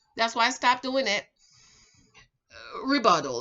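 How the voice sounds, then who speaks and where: A woman speaks in an animated tone with an American accent. Her pitch is high. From Jamaica. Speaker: relationship advice YouTuber and author. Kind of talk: casual storytime and advice monologue.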